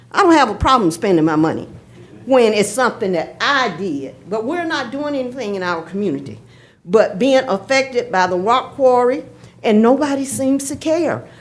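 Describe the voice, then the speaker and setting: In a Georgia accent, the speaker moves at a moderate pace with very wide pitch swings and vocal fry. Room echo can be heard. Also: woman, fairly high pitch for a woman. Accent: Southern US (Georgia). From Athens, Georgia (US South). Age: 70s. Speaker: retired postal worker, public commenter. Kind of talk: public comment at council meeting. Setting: city hall meeting chamber. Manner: halting, with repetitions.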